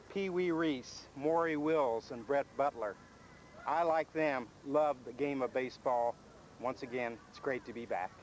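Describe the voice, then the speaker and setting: A man with a plain, everyday voice and an American accent speaks fairly slowly at a fairly high pitch, with ordinary pitch variation and big swings in loudness. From Indiana, US Midwest. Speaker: baseball fantasy camper. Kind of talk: video testimonial.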